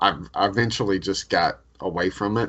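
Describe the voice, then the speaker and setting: This is an unremarkable speaking voice from a man, fairly low in pitch with ordinary pitch variation. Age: 40s. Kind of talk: casual chat. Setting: video call.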